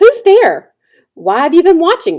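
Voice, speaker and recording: A woman puts on a character voice at an extremely high pitch, speaking at a moderate pace. A hissing sound runs through the clip. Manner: suspicious, wary.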